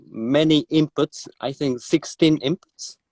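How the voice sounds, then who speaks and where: Speaking at a very slow pace, a man with a fairly high pitch shows ordinary pitch variation in a dry, close sound with no echo. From Japan. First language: Japanese. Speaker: drummer. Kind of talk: interview. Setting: live video stream. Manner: halting.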